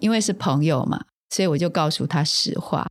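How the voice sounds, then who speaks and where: Lively intonation marks this woman's speech, in a Taiwanese accent. Her pitch is fairly low. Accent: Taiwanese Mandarin. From Taiwan, rural Taoyuan. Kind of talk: interview conversation.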